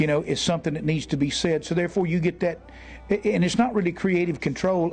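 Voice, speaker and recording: With music in the background, a man speaks at a high pitch with ordinary pitch variation. His pace is fairly quick. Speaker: country singer. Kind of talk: interview answer.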